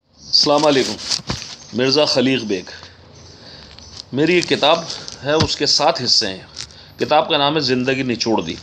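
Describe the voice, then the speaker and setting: A man's fairly high voice with ordinary pitch variation, broken by long, frequent pauses. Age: 60s. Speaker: author. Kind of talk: casual talk; reading aloud.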